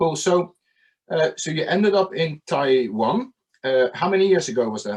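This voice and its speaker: At a moderate pace, a man speaks in a fairly high voice with very wide pitch swings. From Netherlands. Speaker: podcast host. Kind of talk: interview.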